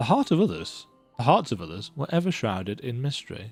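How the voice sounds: Over faint music in the background, a man does a put-on character voice at a medium pitch with big pitch swings, vocal fry, a slightly husky edge and a slightly mellow tone. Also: fairly quick pace.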